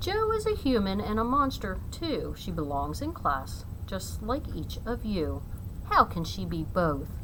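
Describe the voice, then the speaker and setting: Against loud background noise, a put-on character voice speaks in a sing-song way at a fairly slow pace. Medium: read story. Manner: rhyming, singsong.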